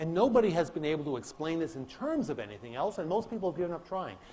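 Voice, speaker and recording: With audible room echo, a man talks in a fairly high, dark, mellow voice that makes very wide pitch swings. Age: 60s. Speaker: physics professor. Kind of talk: lecture.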